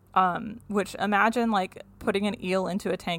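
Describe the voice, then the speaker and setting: A woman's voice with vocal fry and fairly even intonation. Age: 30s. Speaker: science podcast host. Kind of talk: casual chat.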